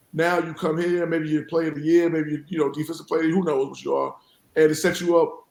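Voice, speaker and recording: The intonation is monotone and flat. The speaker has a New York accent. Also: man. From New York City (South Jamaica, Queens). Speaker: college basketball head coach. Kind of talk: podcast interview.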